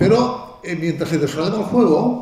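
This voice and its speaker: A man with a Catalan accent speaks at a moderate pace. Noticeable background noise and audible room echo are present. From Catalonia. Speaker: video game hardware engineer. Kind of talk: conference talk. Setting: stage with audience. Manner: halting, many fillers and restarts.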